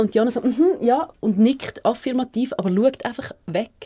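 A woman at a fairly quick pace, in an ordinary speaking voice. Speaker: radio show co-host. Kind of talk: casual radio show banter.

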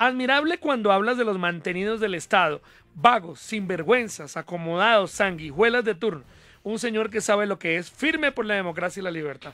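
Raised and projected, a man's high-pitched, bright and sharp voice moves at a moderate pace with lively intonation, the sound dry with no echo. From Bogotá. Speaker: radio host. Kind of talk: interview. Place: studio. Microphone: studio mic.

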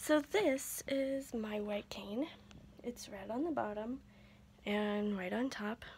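Light background noise sits under a somewhat breathy voice. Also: woman. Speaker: vlogger. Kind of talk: casual vlog chat. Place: home room. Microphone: phone near.

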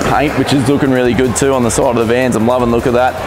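Music plays in the background as a man talks at a very fast pace. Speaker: vlogger presenter. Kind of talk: walkthrough commentary. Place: hall. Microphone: lapel.

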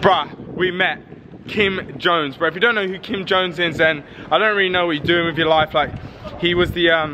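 Against noticeable background noise, a man with a high pitch and fairly even intonation speaks at a fairly quick pace. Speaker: vlogger. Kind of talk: casual vlog chat. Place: street. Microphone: phone near.

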